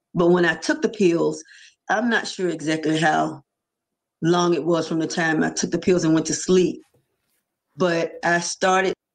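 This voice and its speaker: Long, frequent pauses break up this woman's speech against a quiet background. Her pitch is fairly low, her intonation fairly even, and vocal fry is present. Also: moderate pace. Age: 60s. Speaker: near-death experiencer. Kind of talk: testimony.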